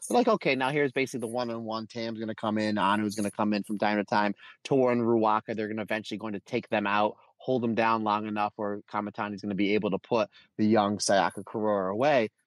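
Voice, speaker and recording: Very fast speech from a man with a fairly low pitch and an American accent. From United States. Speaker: wrestling podcast co-host. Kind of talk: casual podcast chat and wrestling review. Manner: animated.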